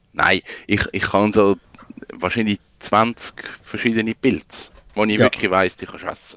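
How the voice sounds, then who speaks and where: Using monotone, flat intonation, a man speaks at a moderate pace and a fairly low pitch with long, frequent pauses and big swings in loudness, the sound dry and close with no echo. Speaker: freelance digital designer. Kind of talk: casual chat.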